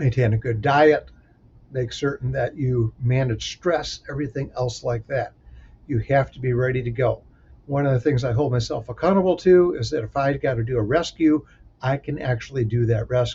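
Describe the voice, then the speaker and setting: A man talks at a moderate pace and a medium pitch, somewhat breathy. His pitch varies in an ordinary way. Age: 50s. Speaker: safety professional and mentor. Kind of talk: solo talk giving career advice.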